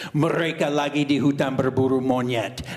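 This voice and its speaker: A man uses a put-on character voice at a medium pitch. He moves at a fairly quick pace. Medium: solo performance. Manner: simple, halting.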